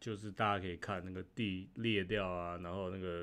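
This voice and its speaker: Speaking at a moderate pace, a man with a very deep, low pitch keeps a monotone, flat intonation. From Taiwan. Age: 40s. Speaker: YouTuber; livestream host. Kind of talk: casual vlog monologue; casual livestream commentary. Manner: halting, many fillers and repeated words. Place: home room. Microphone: studio mic.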